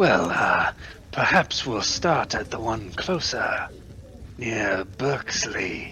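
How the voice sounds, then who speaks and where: Amid clear background noise, a man puts on a character voice at medium pitch, speaking at a very slow pace with lively intonation. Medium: actual play. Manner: formal, measured, polite.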